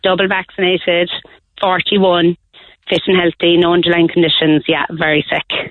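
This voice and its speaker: In an Irish accent, a woman talks at a moderate pace with a fairly low pitch. Her intonation is monotone and flat, and her loudness stays very even. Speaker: primary school teacher. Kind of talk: casual chat. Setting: phone call.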